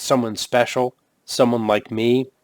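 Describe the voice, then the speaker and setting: A put-on character voice comes from a man. He keeps it at a medium pitch and a fairly slow pace. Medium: read story. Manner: terse, cool.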